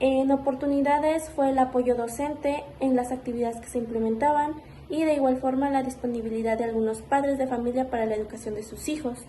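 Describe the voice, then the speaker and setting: A woman with a high pitch speaks at a fairly quick pace, hardly pausing, her intonation fairly even, against noticeable background noise and audible room echo. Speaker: student teacher. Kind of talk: spoken report.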